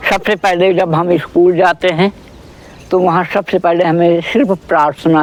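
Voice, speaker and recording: A high male voice comes through noticeable background noise. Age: 70s. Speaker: elderly yoga practitioner. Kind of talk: casual chat.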